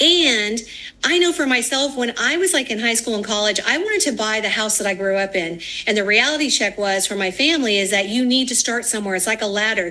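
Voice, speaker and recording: A woman speaks very quickly, her intonation lively, with noticeable noise in the background. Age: 60s. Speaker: financial firm founder and former mortgage lender. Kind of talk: TV news interview. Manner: casual, with fillers.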